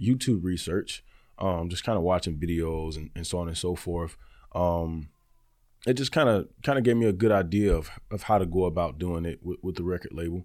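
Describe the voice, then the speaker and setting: In a very clean recording with a silent background, a man with a very deep, low pitch speaks at a fairly quick pace with ordinary pitch variation. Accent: Southern US. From Alabama, Birmingham. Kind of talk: interview. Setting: studio.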